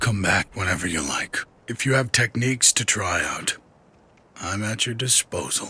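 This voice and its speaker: A man does a put-on character voice at a medium pitch, with ordinary pitch variation. His moderate pace comes through in a dry, close sound with no echo. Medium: video game. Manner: wry, laid-back.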